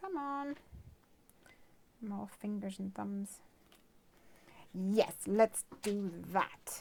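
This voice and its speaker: Speaking very slowly with long, frequent pauses, a woman swings widely in loudness while her pitch varies in an ordinary way. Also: medium pitch for a woman. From Ireland. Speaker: craft video host. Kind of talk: tutorial; casual chat.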